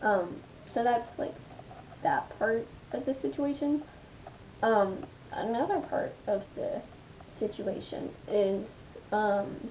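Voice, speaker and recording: Very slowly, a woman speaks with long, frequent pauses. Her fairly high voice carries lively intonation. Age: 20s. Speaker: vlogger. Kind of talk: casual chat. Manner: rambling with many fillers.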